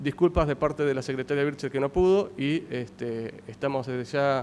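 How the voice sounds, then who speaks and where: Holding a medium pitch, a man speaks with ordinary pitch variation. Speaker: government agriculture official. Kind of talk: conference talk. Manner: fast; halting, many repetitions.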